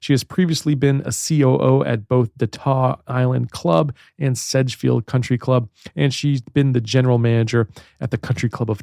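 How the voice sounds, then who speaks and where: With a slight Baltimore accent, a man speaks at a moderate pace and medium pitch, his dark, mellow tone showing ordinary pitch variation in a dry, close sound with no echo. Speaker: podcast host. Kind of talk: interview.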